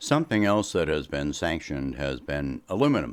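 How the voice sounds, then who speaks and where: A man talks with very wide pitch swings and vocal fry. The recording is very clean, with a silent background. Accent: American. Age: 60s. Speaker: political commentator. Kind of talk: political commentary monologue.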